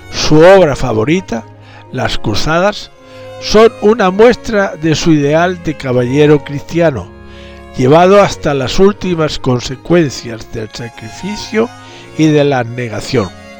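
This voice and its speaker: Music plays in the background as a man speaks at a very slow pace. His fairly high pitch moves in very wide swings. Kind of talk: historical narration.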